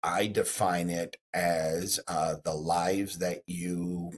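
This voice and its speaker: This man speaks very slowly in a flat, monotone way with an American accent. His pitch is very deep and low, and the sound is dry and close with no echo. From Texas. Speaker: real estate broker. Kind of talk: interview.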